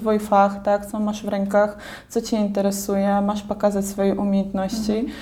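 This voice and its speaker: With a Belarusian accent, a woman talks at a moderate pace. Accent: Belarusian accent in Polish. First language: Belarusian or Russian (speaking Polish). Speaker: artist and university graduate. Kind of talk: interview.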